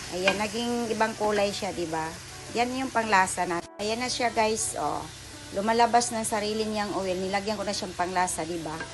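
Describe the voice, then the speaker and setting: A moderate pace over noticeable background noise. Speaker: home cook vlogger. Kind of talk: casual cooking tutorial chat. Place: kitchen. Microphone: phone near.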